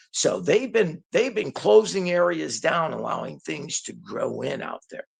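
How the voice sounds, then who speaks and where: A man with an American accent at a fairly slow pace, with big swings in loudness. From Detroit, Michigan, US. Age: 60s. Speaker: hunter recounting encounters. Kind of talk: casual storytelling interview. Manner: repetitive, halting.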